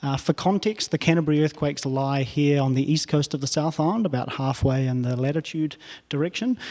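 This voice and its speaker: With a New Zealand accent, a man with a fairly high pitch and a dark, mellow tone talks at a fairly quick pace with ordinary pitch variation. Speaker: professor. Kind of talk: lecture.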